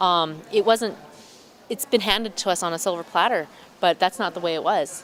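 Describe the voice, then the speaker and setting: A woman speaks with an Albertan accent. Her pitch sits in the middle range. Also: ordinary pitch variation, moderate pace. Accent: Canadian English (Alberta). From Alberta, Canada (small town). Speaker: museum co-host. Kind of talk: casual interview chat. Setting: in a museum. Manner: halting with repetitions.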